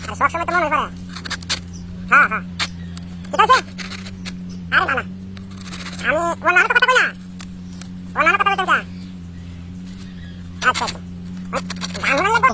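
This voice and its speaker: A put-on character voice speaks at a high pitch and a very fast pace. Loud background noise fills the recording. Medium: voice reel.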